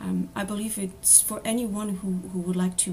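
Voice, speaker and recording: In a French accent, a woman speaks at a medium pitch over noticeable background noise. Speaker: apprentice spiritual counselor. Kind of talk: presentation. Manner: hesitant, many fillers.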